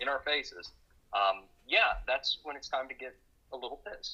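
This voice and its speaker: Speaking at a fairly quick pace with a Texan accent, a man leaves long, frequent pauses, and his loudness swings widely. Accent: Texan accent, noticeable. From Texas, Dallas. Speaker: journalist. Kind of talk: casual chat.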